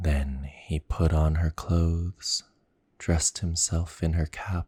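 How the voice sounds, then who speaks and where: Soft-spoken and somewhat breathy, a man talks at a very slow pace with a very deep, low pitch, a dark, mellow tone, and fairly even intonation, in a dry, close sound with no echo. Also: very clean recording, silent background. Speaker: ASMR storyteller. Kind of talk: bedtime story reading.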